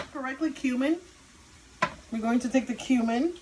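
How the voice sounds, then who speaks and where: A woman speaks in a Cuban accent at a high pitch with ordinary pitch variation. Noticeable background noise runs under her voice. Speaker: cooking video host. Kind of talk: cooking tutorial. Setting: home kitchen. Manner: casual, chatty.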